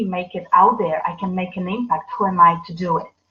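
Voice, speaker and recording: Speaking with a non-native accent, a woman keeps a moderate pace. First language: not English. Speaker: business coach. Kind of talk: livestream talk. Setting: live video broadcast. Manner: halting, many fillers.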